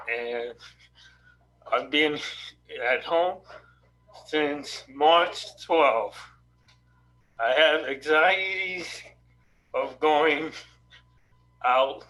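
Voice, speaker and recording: The speech moves at a very slow pace with long, frequent pauses and ordinary pitch variation, with audible room echo. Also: man, fairly high pitch for a man. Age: 60s. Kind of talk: question at virtual town hall. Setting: video call. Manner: halting.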